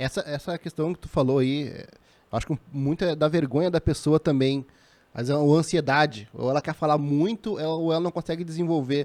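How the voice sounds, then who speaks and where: A man with a southern Brazilian accent and fairly high pitch is heard on a very clean recording with a silent background, the sound dry and close with no echo. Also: ordinary pitch variation, fairly quick pace. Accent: gaúcho Brazilian Portuguese. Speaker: podcast co-host. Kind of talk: casual chat.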